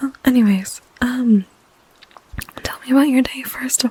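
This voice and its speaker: A soft-spoken voice comes through over noticeable background noise. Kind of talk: ASMR comfort call roleplay, casual chatty talk to the listener. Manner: soft-spoken, intimate, friendly.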